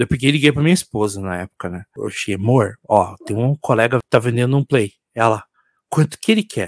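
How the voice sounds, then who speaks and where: This man has a plain, everyday voice, medium in pitch with ordinary pitch variation, at a fairly quick pace. The recording is very clean with a silent background and a dry, close sound with no echo. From Curitiba, Paraná, Brazil. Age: 40s. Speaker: musician and IT support analyst. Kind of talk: casual chat. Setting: live stream.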